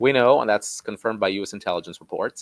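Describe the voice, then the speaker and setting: The man talks at a fairly low pitch with fairly even intonation. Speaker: security analyst. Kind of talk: interview.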